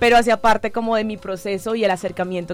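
A woman's fairly high-pitched voice over background music. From Colombian Caribbean coast, Santa Marta. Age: 20s. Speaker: social communicator and natural cosmetics entrepreneur. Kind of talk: radio panel conversation. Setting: radio studio.

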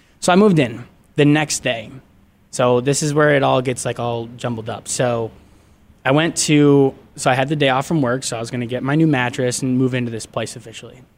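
A man speaks at a fairly quick pace with an American accent and fairly even intonation. His medium-pitched voice is an ordinary speaking voice. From Michigan, US Midwest (Grand Rapids). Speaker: media production assistant. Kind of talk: casual chat, personal storytelling. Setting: radio studio.

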